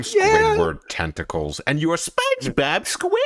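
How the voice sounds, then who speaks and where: At a moderate pace, the speaker performs in an assumed character voice. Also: man. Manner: cartoonish, silly.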